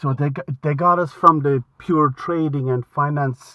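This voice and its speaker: A man with a Limerick accent speaks in a fairly high voice. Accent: Irish (Limerick). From Ireland, Limerick. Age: 60s. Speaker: retired aviation historian and author. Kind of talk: casual chat. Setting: phone call. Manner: halting.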